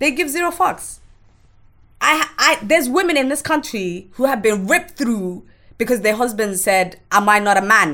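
A woman's high voice, bright and sharp in tone, with very wide pitch swings at a moderate pace. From Somalia, raised in London from youth. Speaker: activist and abuse survivor. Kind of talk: personal testimony in casual interview.

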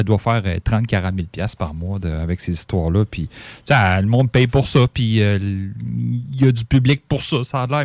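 In a plain, everyday voice, a man speaks with a fairly low pitch and lively intonation. The recording is very clean with a silent background, dry and close with no echo. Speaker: radio co-host and board operator. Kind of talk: casual chat.

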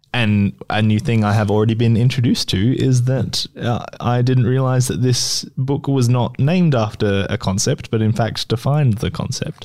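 A man speaks at a moderate pace with an Australian accent and ordinary pitch variation. He keeps his loudness very even and hardly pauses. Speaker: podcast co-host. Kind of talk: casual chat.

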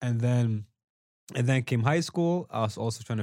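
The speaker has an ordinary speaking voice and a fairly quick pace. The recording is very clean, with a silent background. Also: man. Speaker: dancer. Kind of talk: casual chat.

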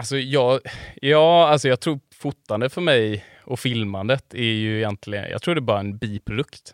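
In a very clean recording with a silent background and a dry, close sound with no echo, a man talks at a moderate pace with a medium pitch and ordinary pitch variation. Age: 30s. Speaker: photographer and filmmaker. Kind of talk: casual chat. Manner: halting.

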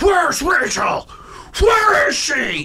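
Someone shouts in a put-on character voice at an extremely high pitch. Background noise is clear. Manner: yelling, barking.

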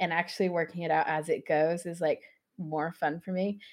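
A woman's plain, everyday voice, fairly low in pitch, at a moderate pace. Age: 20s. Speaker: knitwear designer and maker. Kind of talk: interview.

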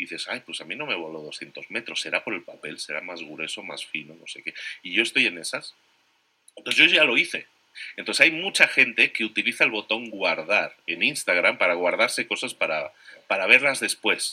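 Moderate-paced speech from a man, marked by big swings in loudness. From Spain. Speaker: entrepreneur and podcaster. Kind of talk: interview.

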